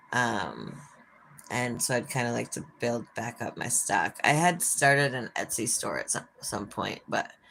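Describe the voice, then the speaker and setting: A woman talks at a fairly slow pace. She has an American accent. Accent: Minnesotan, sometimes thicker. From Minnesota. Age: 40s. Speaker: livestreamer. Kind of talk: casual chat. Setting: live stream by an open window.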